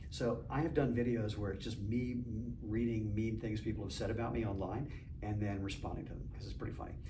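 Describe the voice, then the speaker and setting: With audible room echo, a man speaks at a fairly quick pace in a fairly low voice with fairly even intonation. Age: 60s. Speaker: entrepreneur and masters sprinter. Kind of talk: casual chat.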